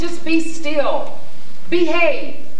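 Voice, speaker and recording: A woman with an American accent speaks at an extremely high pitch. There is audible room echo and light background noise. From US Midwest, Columbus, Ohio. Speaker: poet and playwright. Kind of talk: dramatic second-person narration immersing the audience in enslavement. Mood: grave, emotional narration. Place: stage.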